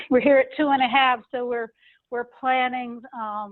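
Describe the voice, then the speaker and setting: A woman is talking. Her intonation is monotone and flat. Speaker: nonprofit executive director. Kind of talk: presentation at online meeting. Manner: fast.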